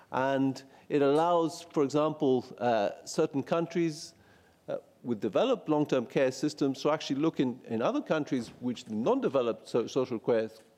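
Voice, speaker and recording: In a Greek accent, a man talks at a moderate pace with a fairly high pitch and ordinary pitch variation. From Greece. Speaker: policy researcher presenting findings. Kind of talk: conference presentation. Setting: event at the European Parliament. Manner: halting, many fillers and restarts.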